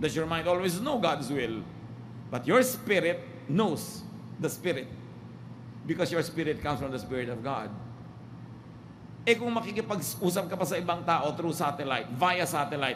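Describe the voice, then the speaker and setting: Lively intonation marks this man's fairly high voice. He speaks at a moderate pace with long, frequent pauses. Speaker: preacher / pastor. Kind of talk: sermon preaching.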